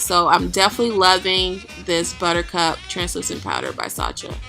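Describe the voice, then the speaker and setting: A woman talks while music plays behind her. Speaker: makeup vlogger. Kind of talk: makeup tutorial voice-over. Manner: casual, chatty.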